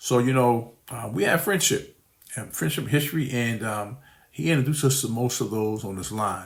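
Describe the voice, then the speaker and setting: A man speaks with a somewhat breathy voice and ordinary pitch variation, with audible room echo. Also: medium pitch for a man, moderate pace. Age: 60s. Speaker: scam victim and investor. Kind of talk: testimony. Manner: halting.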